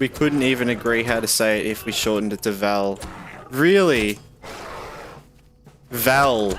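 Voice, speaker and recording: With music in the background, a man in an Australian accent talks fairly slowly at a medium pitch, with ordinary pitch variation and long, frequent pauses. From Australia, eastern Victoria. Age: 20s. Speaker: gaming streamer. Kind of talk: casual chat. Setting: live stream.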